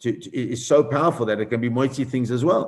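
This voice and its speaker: The voice belongs to a man with a medium pitch. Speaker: rabbi teaching Talmud class. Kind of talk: Talmud lecture with questions. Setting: live stream. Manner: fast.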